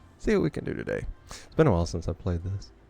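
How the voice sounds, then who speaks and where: With music playing in the background, a man speaks in a relaxed tone. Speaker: gaming streamer. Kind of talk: live gameplay stream chat. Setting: live stream. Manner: casual, relaxed.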